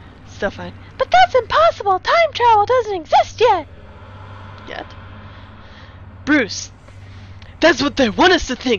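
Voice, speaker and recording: A put-on character voice at an extremely high pitch and moderate pace, with big swings in loudness, long, frequent pauses and clear background noise. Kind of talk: comic overacting. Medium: solo performance.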